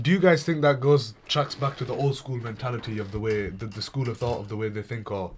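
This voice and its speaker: A somewhat breathy man at medium pitch and a very fast pace, with ordinary pitch variation and hardly any pauses. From England, British Pakistani. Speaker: radio show guest. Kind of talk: casual chat. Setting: radio studio.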